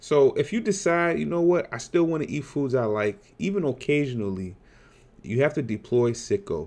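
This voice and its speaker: A man speaks at a moderate pace, his pitch swinging very widely. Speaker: weight loss vlogger. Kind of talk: casual vlog chat. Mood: earnest, sometimes laughing. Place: home room. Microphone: webcam.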